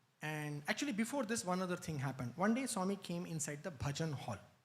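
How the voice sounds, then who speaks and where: A man with a non-native accent speaks in a high voice, his pitch swinging very widely. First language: not Telugu. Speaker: spiritual speaker. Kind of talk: spiritual talk.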